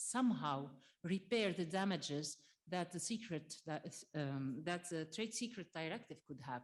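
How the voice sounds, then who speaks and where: Her intonation is lively. The woman speaks at a fairly slow pace. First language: French. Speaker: trade union representative. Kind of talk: conference closing summary. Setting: conference with audience. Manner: halting, many fillers.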